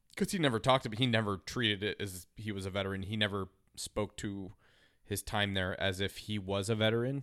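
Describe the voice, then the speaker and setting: A man with an American accent, a normal speaking voice, fairly low pitch and fairly even intonation, on a very clean recording with a silent background. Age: 30s. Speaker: podcast co-host. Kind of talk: casual chat.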